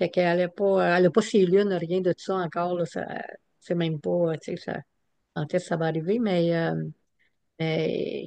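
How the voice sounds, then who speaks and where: Speaking in a fairly low pitch with a dark, mellow tone, a woman keeps a moderate pace and fairly even intonation, leaving long, frequent pauses. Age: 80s+. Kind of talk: talking circle sharing. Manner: halting, many fillers.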